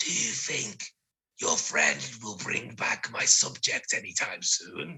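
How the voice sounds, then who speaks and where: A man's raspy, put-on character voice at a fairly slow pace. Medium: actual play. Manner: slow, creaky.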